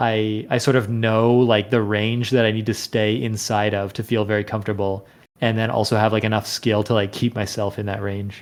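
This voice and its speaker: On a very clean recording with a silent background, a man speaks at a moderate pace and medium pitch. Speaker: podcast host, game developer. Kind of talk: casual chat. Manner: monotone; halting.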